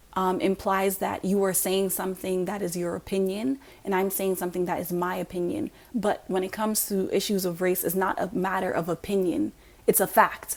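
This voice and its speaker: An ordinary speaking voice from a woman, medium in pitch, at a fairly quick pace. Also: ordinary pitch variation. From US, raised by African immigrant family. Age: young. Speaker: YouTuber giving commentary. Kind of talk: monologue to camera.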